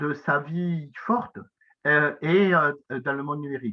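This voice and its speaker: The speech is very slow in pace, with ordinary pitch variation. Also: man. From south-west France. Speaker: professor. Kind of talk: lecture. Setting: conference talk. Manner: hesitant, many filler sounds.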